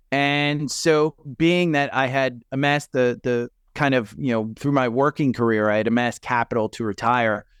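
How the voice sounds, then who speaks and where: A man with a New Jersey accent speaks with ordinary pitch variation, his voice dry and close with no echo. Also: moderate pace, quiet background. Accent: New Jersey, Sopranos-style. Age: 50s. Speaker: retired investor and stock podcaster. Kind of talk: casual interview.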